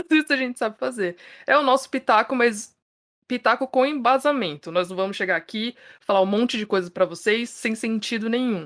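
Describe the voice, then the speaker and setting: A woman with an ordinary speaking voice talks at a fairly quick pace, her fairly high pitch showing ordinary pitch variation. The sound is dry and close with no echo, a very clean recording with a silent background. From Brazil, São Paulo. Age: 30s. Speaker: podcast host, journalist. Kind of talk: casual podcast chat.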